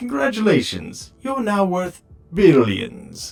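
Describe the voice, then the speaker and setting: A put-on character voice at a middle pitch moves at a fairly slow pace, with faint music in the background. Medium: machinima. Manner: condescending, mocking.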